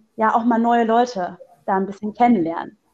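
Fairly high-pitched woman's voice with a dark, mellow tone at a moderate pace. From Hesse, Germany. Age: 20s. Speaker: local party spokesperson and law trainee. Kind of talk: casual interview. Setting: phone call.

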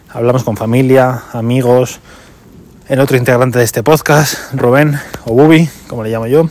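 A man speaks with fairly even intonation and long, frequent pauses. Noticeable background noise runs underneath. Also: medium pitch for a man, moderate pace. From Madrid region, Spain. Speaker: podcast host, amateur runner. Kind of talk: casual monologue race report.

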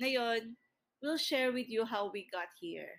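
A woman at a very slow pace, with ordinary pitch variation, on a very clean recording with a silent background. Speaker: podcast co-host, entrepreneur. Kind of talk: casual chat. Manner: talkative. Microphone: built-in laptop microphone.

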